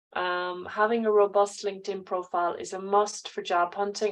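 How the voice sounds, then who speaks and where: In an Irish accent, a woman speaks at a medium pitch and a moderate pace against a quiet background. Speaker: careers adviser. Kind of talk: online class.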